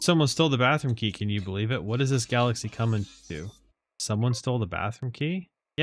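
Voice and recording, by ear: Against a quiet background, the words are read aloud in a natural voice.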